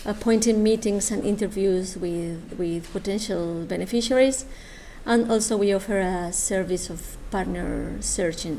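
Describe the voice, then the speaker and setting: A woman's medium-pitched voice in a Spanish accent, with ordinary pitch variation and audible room echo. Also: fairly slow pace. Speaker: government official presenting a funding program. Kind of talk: conference presentation. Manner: halting, many hesitations.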